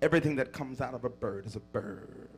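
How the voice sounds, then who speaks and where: The voice is somewhat breathy, with ordinary pitch variation. The pace is moderate. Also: man. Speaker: bishop, preacher. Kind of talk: sermon, whooping preaching. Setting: church pulpit.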